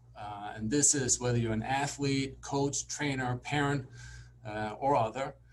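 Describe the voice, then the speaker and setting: A man at a fairly slow pace, fairly even intonation, noticeable background noise behind him. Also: medium pitch for a man. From Denmark. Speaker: sports psychologist. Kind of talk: lecture.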